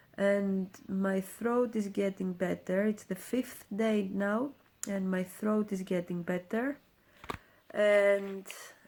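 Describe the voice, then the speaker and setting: A woman's fairly even intonation and medium pitch come through at a very slow pace. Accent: Greek. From Greece. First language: Greek. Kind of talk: casual talk to camera.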